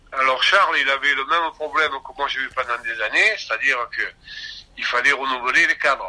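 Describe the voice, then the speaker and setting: At a fairly quick pace, a man talks with fairly high pitch and ordinary pitch variation. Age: 60s. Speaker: union and consumer association activist. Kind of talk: interview. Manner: halting.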